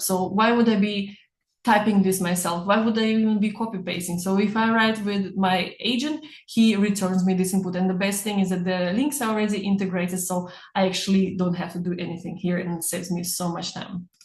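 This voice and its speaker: A woman with a non-native accent speaks at a fairly quick pace in a medium-pitched, somewhat breathy voice with fairly even intonation. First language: not English. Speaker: personal branding coach. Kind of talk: webinar.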